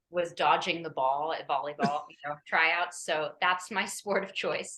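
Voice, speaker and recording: In an American accent, the speaker goes at a fairly slow pace with fairly even intonation and big swings in loudness. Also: woman, fairly low pitch for a woman. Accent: American, kept despite years in London. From Los Angeles, US. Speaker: actress. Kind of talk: casual interview chat.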